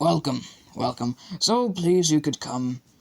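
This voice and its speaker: A man uses a put-on character voice at a fairly high pitch. He speaks at a moderate pace. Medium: read story. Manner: formal, old-fashioned, polite.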